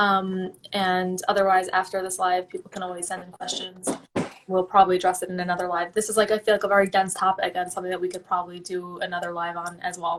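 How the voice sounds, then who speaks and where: A woman talks at a very fast pace in a medium pitch with monotone, flat intonation. Her loudness swings widely, and there is noticeable background noise. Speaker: mental health directory host. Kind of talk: live-stream interview. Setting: live stream. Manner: casual, filler-heavy.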